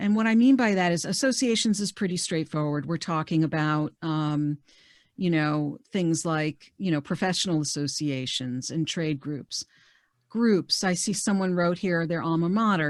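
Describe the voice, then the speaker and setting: Lively intonation marks this moderately paced speech with an American accent. The background is quiet. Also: woman. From New York metro area. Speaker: career coach. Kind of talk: webinar presentation. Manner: conversational, many fillers.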